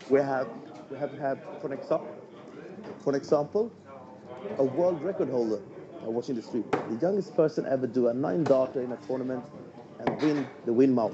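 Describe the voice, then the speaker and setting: A man talks at a fairly quick pace at medium pitch, with ordinary pitch variation. Long, frequent pauses break up his speech over noticeable background noise. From Sweden. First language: Swedish. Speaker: darts stream commentator. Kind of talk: live stream commentary chat.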